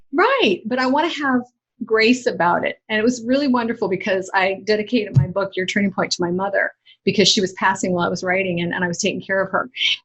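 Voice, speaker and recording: At a very fast pace, a woman with a medium-pitched, somewhat breathy voice speaks with ordinary pitch variation. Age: 60s. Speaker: author and inspirational speaker. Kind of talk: interview conversation.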